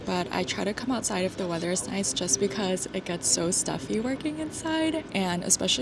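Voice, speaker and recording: With music in the background, someone talks at a moderate pace. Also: woman. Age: 20s. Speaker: corporate worker and part-time MBA student. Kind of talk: vlog talk to camera and voiceover.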